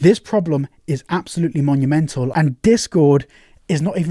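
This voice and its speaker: A man with a British accent, a dark, mellow tone, a somewhat breathy edge, ordinary pitch variation and a fairly quick pace, in a dry, close sound with no echo. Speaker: tech news YouTuber. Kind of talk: online video commentary.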